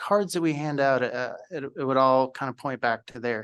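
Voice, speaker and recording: Against a quiet background, a man with a medium pitch speaks at a fairly slow pace in an ordinary speaking voice. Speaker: school district communications staff. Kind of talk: presentation at a school board meeting. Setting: school board meeting.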